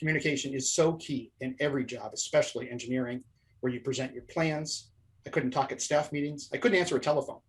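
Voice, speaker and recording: Talking at a very fast pace with somewhat breathy delivery, this voice keeps a fairly even intonation while its loudness swings widely. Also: man, fairly high pitch for a man. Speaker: professional speaker and former engineer. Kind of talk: interview conversation.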